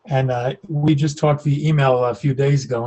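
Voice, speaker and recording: Somewhat breathy, a man speaks at a fairly high pitch. He keeps a fairly quick pace with ordinary pitch variation. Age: 70s. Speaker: author and professor. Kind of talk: interview conversation. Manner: halting with repetitions.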